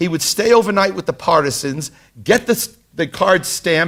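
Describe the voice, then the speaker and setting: A high-pitched man with a Brooklyn accent and lively intonation. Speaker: tour guide or lecturer on history. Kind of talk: lecture. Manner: halting, many fillers.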